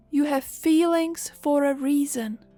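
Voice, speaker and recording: A woman's high, gentle, calm voice at a very slow pace, fairly even in intonation, with music in the background. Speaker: hypnotherapist and meditation guide. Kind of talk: guided meditation talk.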